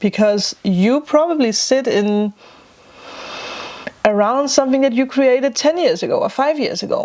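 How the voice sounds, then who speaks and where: At a moderate pace, a woman with a non-native accent speaks in a high pitch with very wide pitch swings and long, frequent pauses. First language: not English. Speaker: spiritual vlogger and tarot reader. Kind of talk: casual vlog talk.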